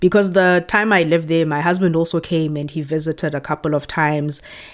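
At a fairly quick pace, a woman with a very deep, low voice speaks with fairly even intonation in a very clean recording with a silent background. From South Africa, Johannesburg. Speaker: content creator. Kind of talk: casual interview chat.

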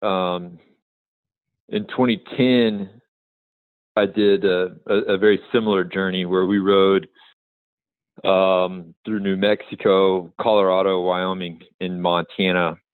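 A man with a Texan accent speaks at a very slow pace in a very deep, low voice. His intonation is flat and monotone, with long, frequent pauses. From Texas, Amarillo. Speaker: filmmaker and pack trip guide. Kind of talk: interview.

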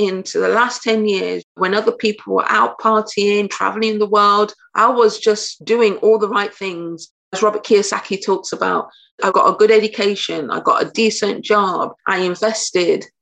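Here a woman speaks in an English Midlands accent. Her pitch is fairly high and her pace moderate. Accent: English Midlands (British). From England, Nottingham. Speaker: blockchain educator and entrepreneur. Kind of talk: interview conversation.

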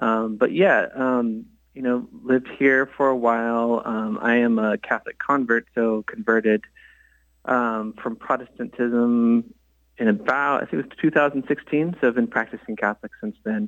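A man with a West Coast accent speaks at medium pitch and a moderate pace, with ordinary pitch variation and big swings in loudness. The sound is dry and close with no echo, over a quiet background. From US West Coast (Bay Area, California / Portland). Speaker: architect and religious artist. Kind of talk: radio interview. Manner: hesitant, many fillers.

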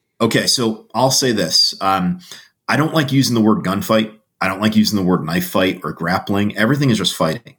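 A man with an American accent speaks at a fairly low pitch and a fairly quick pace. His intonation is lively, with music in the background. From Connecticut, US. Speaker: survival instructor. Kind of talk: casual interview.

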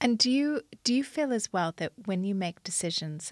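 A woman speaks at a moderate pace with lively intonation in a plain, everyday voice. The sound is dry and close with no echo, on a very clean recording with a silent background. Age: 40s. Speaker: podcast host and entrepreneur. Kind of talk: interview conversation. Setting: recording in London.

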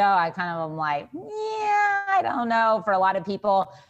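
A woman speaks with an American accent at medium pitch. Noticeable background noise can be heard. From Texas. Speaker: dietitian. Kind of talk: interview.

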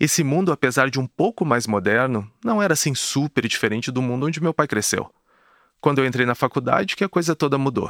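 A man's fairly high-pitched, normal speaking voice with lively intonation at a fairly quick pace, dry and close with no echo, on a very clean recording with a silent background. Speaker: podcast host. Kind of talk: scripted narration.

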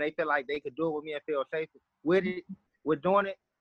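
The intonation is fairly even. The sound is dry and close, with no echo. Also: man. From US Midwest, southeast side of Chicago. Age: 30s. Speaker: urban horse rider. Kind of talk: interview.

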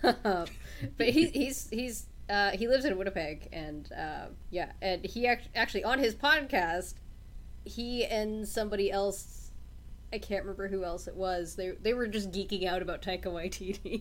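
Vocal fry runs through a woman's medium-pitched voice at a moderate pace. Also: ordinary pitch variation. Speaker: podcast co-host.

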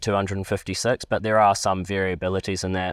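Fairly low in pitch, a man talks at a fairly quick pace in a New Zealand accent. His intonation is fairly even, on a very clean recording with a silent background. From New Zealand, Palmerston North. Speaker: drone company chief executive, aviation lecturer. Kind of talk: interview.

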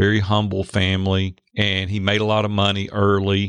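A man speaks with a Nashville accent against a quiet background. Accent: Southern US (Nashville). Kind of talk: casual chat.

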